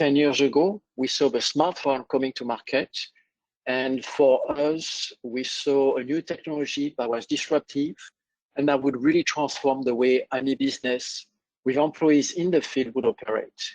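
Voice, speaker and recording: A man with a French accent and fairly high pitch, fairly even intonation at a moderate pace, in a dry, close sound with no echo. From France. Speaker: software company presenter. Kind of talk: business webinar presentation.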